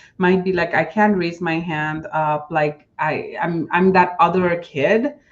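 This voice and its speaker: Speaking with a Nepali accent, a woman talks at a fairly slow pace and a fairly low pitch. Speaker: diversity and inclusion manager. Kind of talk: interview.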